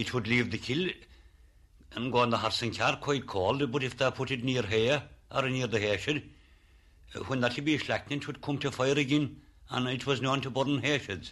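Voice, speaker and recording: Against a quiet background, a man with a Kerry accent speaks with fairly even intonation and long, frequent pauses. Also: medium pitch for a man, moderate pace. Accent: rural Kerry Irish. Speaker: former lime burner. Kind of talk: interview recollection.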